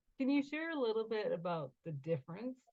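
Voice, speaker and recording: Her voice carries a somewhat breathy quality. The speaker is female. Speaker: podcast host. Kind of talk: interview conversation.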